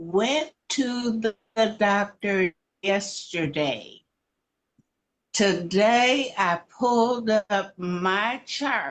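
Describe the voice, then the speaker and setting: This woman's medium-pitched voice has lively intonation and very even loudness, moving at a very slow pace. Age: 80s. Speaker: caller giving testimony. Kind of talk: testimony.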